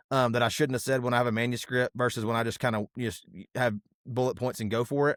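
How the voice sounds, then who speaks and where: On a very clean recording with a silent background and dry, close sound with no echo, a man talks at a very fast pace. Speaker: pastor. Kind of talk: casual chat.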